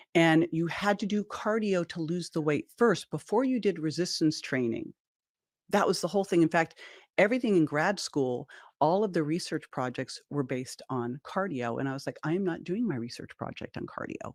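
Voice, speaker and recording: Speaking at a moderate pace, a woman has a fairly low pitch, lively intonation and an animated tone. The sound is dry and close with no echo, on a very clean recording with a silent background. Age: 60s. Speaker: exercise physiologist and nutrition author. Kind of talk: podcast interview.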